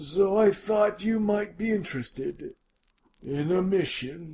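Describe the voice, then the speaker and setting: A man puts on a character voice, pitched high for a man, with ordinary pitch variation. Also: fairly slow pace. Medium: audio drama. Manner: warm, genial, avuncular.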